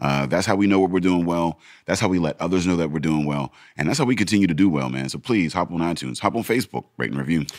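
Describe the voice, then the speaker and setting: The speech runs at a very fast pace with lively intonation over noticeable background noise. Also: man, very deep, low pitch for a man. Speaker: podcast co-host. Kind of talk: casual chat.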